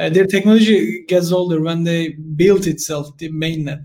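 Speaking with a Turkish accent, a man uses a high pitch, fairly even intonation and a moderate pace. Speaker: crypto community podcast host. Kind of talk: interview. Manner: halting.

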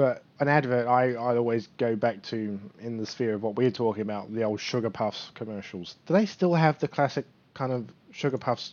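Fairly even intonation from a man in a British accent. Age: 30s. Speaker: bodybuilder. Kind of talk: casual chat.

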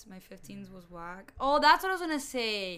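A woman's voice with a bright, sharp tone. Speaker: podcast co-host. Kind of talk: casual chat. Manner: loud.

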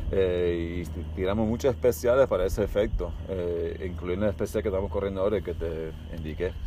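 Somewhat breathy and dark, mellow in tone, a man with a very deep, low pitch talks at a fairly quick pace with hardly any pauses and ordinary pitch variation. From Miami, Florida, Cuban-American family. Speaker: skydiving company founder and instructor. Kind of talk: casual interview. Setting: at an airport.

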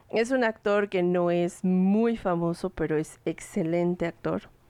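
The sound is dry and close, with no echo and a quiet background. The pitch varies in an ordinary way. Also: woman. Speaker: podcast host. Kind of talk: casual chat.

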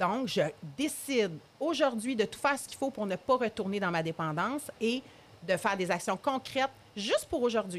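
In a Quebec accent, a woman speaks at a fairly high pitch and a moderate pace, her pitch swinging very widely. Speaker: addiction therapist. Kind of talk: interview.

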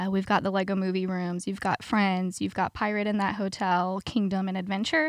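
A woman speaks in a normal speaking voice at a medium pitch with fairly even intonation. Her pace is fairly quick with hardly any pauses, on a very clean recording with a silent background. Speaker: theme park PR manager. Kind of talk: casual interview.

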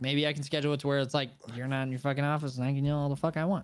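This man talks at a very fast pace in a fairly high pitch. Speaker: podcast co-host, streamer. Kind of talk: casual banter, storytelling. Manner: animated, loud.

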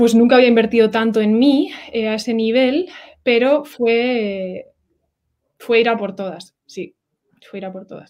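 A woman talks at a fairly high pitch with ordinary pitch variation and big swings in loudness. Her speech has long, frequent pauses. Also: fairly slow pace, very clean recording, silent background. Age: 20s. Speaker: oceanographer. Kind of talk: interview. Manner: halting.

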